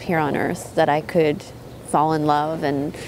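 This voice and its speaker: A woman speaks with a Canadian accent over noticeable background noise. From Prince Edward Island, Canada. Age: 30s. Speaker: prosecutor. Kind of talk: documentary interview. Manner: hesitant, many fillers.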